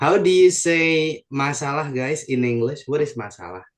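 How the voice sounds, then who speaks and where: A man's voice, fairly high in pitch. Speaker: English teacher. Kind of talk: online class lesson. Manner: code-switching English and Indonesian.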